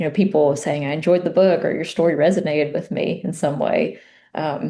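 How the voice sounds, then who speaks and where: Speaking at a fairly quick pace with an Appalachian accent, a woman uses a very deep, low pitch, a dark, mellow tone and fairly even intonation. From US South, Appalachia (Southwest Virginia coal country). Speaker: memoir author. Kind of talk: interview. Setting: podcast interview.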